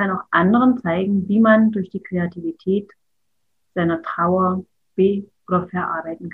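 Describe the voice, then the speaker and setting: A woman with a plain, everyday voice, medium in pitch, at a fairly slow pace with fairly even intonation and big swings in loudness. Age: 50s. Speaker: artist and childcare educator. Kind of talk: interview.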